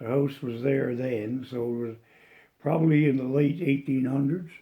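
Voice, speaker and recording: A man with a Cape Breton accent speaks with fairly even intonation. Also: medium pitch for a man, moderate pace. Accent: Cape Breton Nova Scotia. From Cape Breton, Nova Scotia, Canada. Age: 80s+. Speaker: elderly local resident sharing memories. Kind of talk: oral history interview. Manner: halting, with many false starts.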